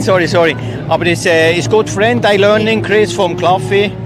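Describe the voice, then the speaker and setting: A man's high-pitched voice at a moderate pace, with lively intonation and music in the background. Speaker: former sidecar racer, visitor. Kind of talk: paddock interview. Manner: halting.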